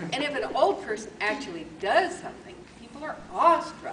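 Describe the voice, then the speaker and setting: A woman at a moderate pace with very wide pitch swings, plus audible room echo. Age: 70s. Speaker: Toastmasters contest speaker. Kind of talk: humorous speech.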